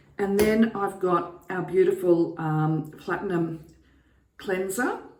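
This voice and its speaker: A very slow pace with fairly even intonation and audible room echo. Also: woman. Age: 60s. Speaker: beauty vlogger. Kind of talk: tutorial. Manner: casual, hesitant with fillers.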